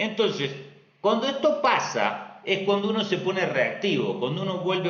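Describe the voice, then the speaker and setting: Noticeable background noise and audible room echo surround a man speaking with lively intonation in an Argentine accent. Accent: Argentine Spanish (Rioplatense). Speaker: astrologer. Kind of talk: live stream talk.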